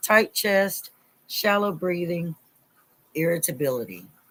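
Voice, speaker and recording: A woman with an American accent talks at a moderate pace and medium pitch, her animated tone showing lively intonation and vocal fry. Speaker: Bible study leader. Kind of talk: livestream Bible study. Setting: live stream. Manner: loud.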